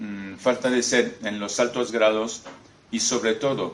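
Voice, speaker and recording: Very slow speech in a non-native accent with fairly even intonation, audible room echo and noticeable background noise. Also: man. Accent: foreign accent in Spanish. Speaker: former freemason, author. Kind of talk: lecture. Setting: talk in front of an audience. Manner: halting, with many hesitations.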